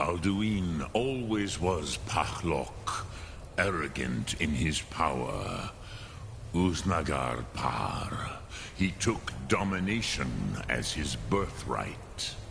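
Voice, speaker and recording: Through loud background noise, a man uses a put-on character voice of very deep, low pitch at a very slow pace. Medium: video game. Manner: slow, measured, peppered with dragon words.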